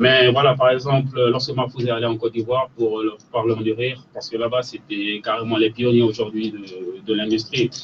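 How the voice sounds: A man with a medium pitch talks at a fairly quick pace, with few pauses, little pitch movement and a slightly husky edge.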